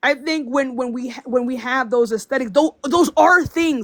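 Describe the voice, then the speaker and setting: The voice belongs to a woman. She keeps a moderate pace. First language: not English. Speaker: political commentator on a panel. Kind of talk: panel discussion. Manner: halting.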